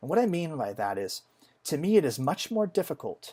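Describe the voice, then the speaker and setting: Pitch swings very widely as a man speaks on a very clean recording with a silent background. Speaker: software engineer. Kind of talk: casual gaming commentary.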